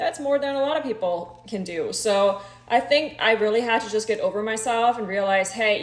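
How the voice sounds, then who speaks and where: A woman with a slight German accent speaks at a fairly high pitch with ordinary pitch variation. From Germany. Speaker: social media creator. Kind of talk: casual chat.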